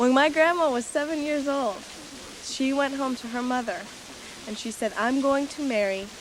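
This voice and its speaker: A woman with a high pitch speaks at a moderate pace with ordinary pitch variation, her voice carrying audible room echo over noticeable background noise. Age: 20s. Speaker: narrator. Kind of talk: scripted narration.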